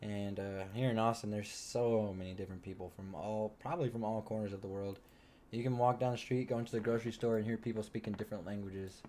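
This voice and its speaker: Talking at a very fast pace, a man with a slight Texas accent has a fairly low pitch. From Texas, small rural town. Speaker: crypto trading streamer. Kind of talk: live stream commentary. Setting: live stream at home. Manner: casual, animated.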